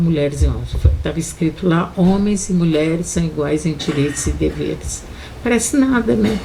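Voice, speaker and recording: A woman speaks at a moderate pace, her voice carrying audible room echo over noticeable background noise. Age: 70s. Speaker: feminist activist. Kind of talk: panel debate. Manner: animated.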